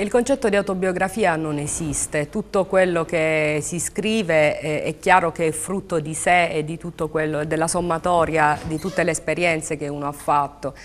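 A woman talks in a plain, everyday voice at a moderate pace. Her pitch varies in an ordinary way, with light background noise. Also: fairly low pitch for a woman. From Taranto, Apulia, southern Italy; Apulia. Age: 30s. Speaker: novelist; guest. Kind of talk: TV interview. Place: studio. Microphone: lapel.

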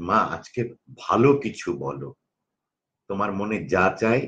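A man's voice carries a bright, sharp tone and lively intonation. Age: 50s. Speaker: corporate trainer. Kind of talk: interview conversation.

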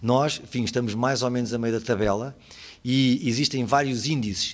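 A man talks at a moderate pace in a normal speaking voice with medium pitch. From Portugal. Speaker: lawyer and lecturer on digital law; lawyer, lecturer on digital law. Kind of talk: conference talk. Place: hall.

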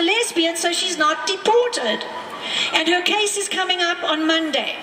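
A woman uses a raised, projected voice at an extremely high pitch, her tone passionate. Audible room echo and light background noise surround her. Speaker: activist. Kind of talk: rally speech. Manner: passionate, indignant, emphatic. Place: street.

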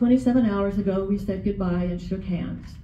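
A woman's medium-pitched voice with fairly even intonation at a moderate pace, with audible room echo and light background noise. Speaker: writing group member, poet; poet. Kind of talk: spoken word, tender love poems and letters to late husband. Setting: library reading with audience. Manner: gentle and intimate, tender reading; emotional, pausing with nervous laughs. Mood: tender, heartfelt. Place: hall. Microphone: camera far.

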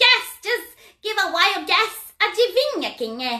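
A woman's put-on character voice with a playful tone. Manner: teasing, playful, croaks 'rabbit' (ribbit).

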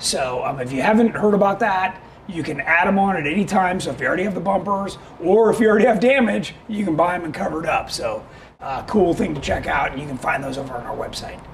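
A man talks at a very fast pace with lively intonation. His pitch is high, and there is light background noise. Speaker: show host. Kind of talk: live web show product talk. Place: studio.

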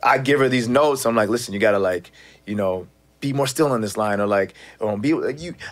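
Speaking at a very fast pace, a man sounds animated, with ordinary pitch variation. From Canada, Toronto. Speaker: actor. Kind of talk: casual chat. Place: studio. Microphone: studio mic.

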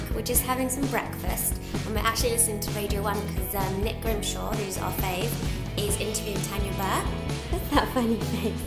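A woman at a fairly quick pace over loud music in the background. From London. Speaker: mum vlogger. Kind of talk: casual vlog talk to camera. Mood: cheerful, chatty. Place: home room. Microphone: phone near.

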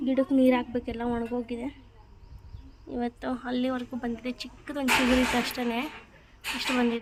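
Over noticeable background noise, a woman speaks at a high pitch in a monotone, flat intonation. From Gangavathi, Karnataka. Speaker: vlogger. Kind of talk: casual vlog narration. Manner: talking to a child.

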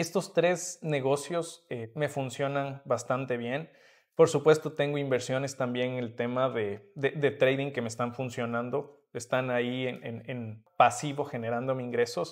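An unremarkable speaking voice at a fairly slow pace, hardly any pauses, fairly even intonation and a quiet background. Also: man, medium pitch for a man. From Ecuador, Atuntaqui near Quito; Ecuador. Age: young. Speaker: entrepreneur and mentor; guest. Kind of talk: interview. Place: hall. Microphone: camera far.

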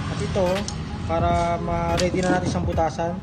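Music sounds behind the speech. A man talks at a fairly quick pace. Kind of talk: tutorial. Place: workshop. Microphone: phone near.

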